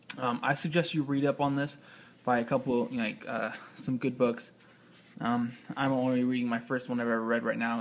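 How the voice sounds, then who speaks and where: A man mumbles at a fairly quick pace in a flat monotone. His speech breaks into long, frequent pauses. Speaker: motorcycle rider. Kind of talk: casual tutorial. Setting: indoors. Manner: mumbling; halting.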